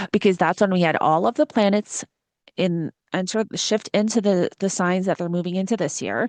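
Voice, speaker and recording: Over a quiet background, a woman speaks at a medium pitch with ordinary pitch variation, the sound dry and close with no echo. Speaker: astrologer. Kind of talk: casual astrology forecast monologue. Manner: fast; animated.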